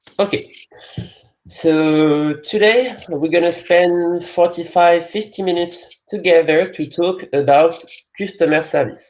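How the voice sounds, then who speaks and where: A man's high-pitched voice in a French accent, fairly slow and fairly even in intonation. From France. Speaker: company partner team representative, webinar presenter. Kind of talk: webinar presentation. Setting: online webinar.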